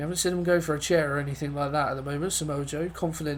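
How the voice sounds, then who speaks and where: A somewhat breathy man at a fairly high pitch, very fast pace and fairly even intonation, with audible room echo. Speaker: gaming commentator. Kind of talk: live commentary.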